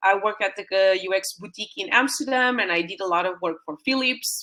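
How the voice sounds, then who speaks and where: Speaking at a moderate pace, a woman with a Portuguese accent has a medium-pitched voice. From Portugal. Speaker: UX designer and mentor. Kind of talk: webinar presentation. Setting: live online stream. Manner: hesitant, many fillers.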